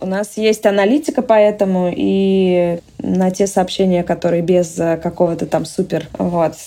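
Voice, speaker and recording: Her voice has a dark, mellow tone at a medium pitch, with ordinary pitch variation. The woman speaks at a fairly slow pace with hardly any pauses. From Russia. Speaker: entrepreneur. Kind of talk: interview.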